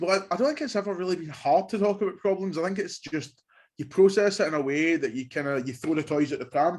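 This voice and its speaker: Speaking at a very fast pace with a Glaswegian accent, a man uses a high pitch and ordinary pitch variation. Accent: Glaswegian Scottish. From Scotland, Glasgow. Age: 20s. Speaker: university student. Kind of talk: casual interview.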